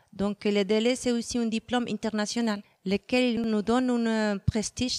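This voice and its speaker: Monotone, flat delivery with a Spanish accent, dry and close with no echo. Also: woman. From Mexico. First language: Spanish (speaking French). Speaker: Spanish teacher and exam organizer. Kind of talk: interview. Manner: hesitant, many fillers.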